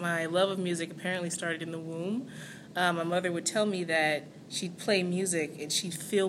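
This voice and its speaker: Over audible room echo, a woman talks at a moderate pace in a fairly low pitch with fairly even intonation. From Southern California. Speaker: singer. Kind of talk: interview. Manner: halting.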